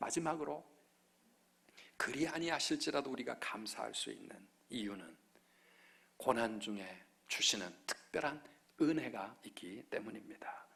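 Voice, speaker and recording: A man at a fairly slow pace, with long, frequent pauses, big swings in loudness and audible room echo. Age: 50s. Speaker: pastor. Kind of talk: sermon. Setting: church.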